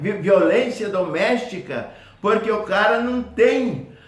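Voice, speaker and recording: Against noticeable background noise, a man with a high pitch talks at a very slow pace with ordinary pitch variation. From Brazil, Paraná (Foz do Iguaçu). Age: 80s+. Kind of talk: testimonial talk to camera.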